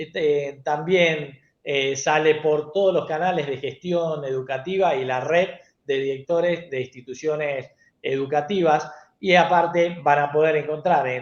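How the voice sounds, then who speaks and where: A man with an unremarkable speaking voice talks at a fairly slow pace, his pitch fairly high and his intonation fairly even. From Argentina. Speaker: TV show host, educational technology specialist. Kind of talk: panel show closing.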